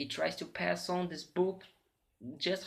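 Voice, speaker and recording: A man with a Portuguese accent speaks with very wide pitch swings. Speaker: literature student. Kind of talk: academic presentation. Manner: halting, many fillers.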